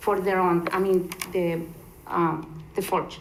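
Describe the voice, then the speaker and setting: Over noticeable background noise and audible room echo, a woman speaks at a fairly slow pace with a Spanish accent. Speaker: resident giving public comment. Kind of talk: public comment at council meeting. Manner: halting, many fillers.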